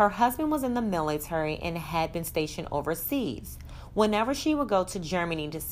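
The recording captures plain reading aloud.

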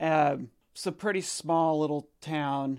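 With an American accent, a man talks in a fairly high pitch and fairly even intonation on a very clean recording with a silent background. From Oregon, US Pacific Northwest. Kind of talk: casual interview conversation.

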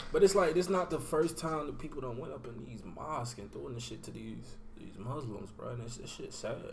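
With a plain, everyday voice, a man speaks at a medium pitch and a fairly quick pace, using lively intonation, hardly any pauses and big swings in loudness. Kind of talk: casual banter.

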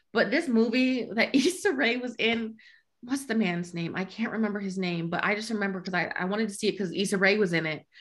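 A woman with an American accent and a plain, everyday voice talks at a medium pitch with lively intonation. The recording is very clean, with a silent background. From US Midwest. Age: 20s. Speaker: podcast co-host. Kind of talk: casual chat.

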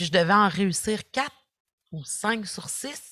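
A woman's lively intonation comes through in a dry, close sound with no echo. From Quebec. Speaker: social work professor and former youth in care. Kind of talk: podcast interview.

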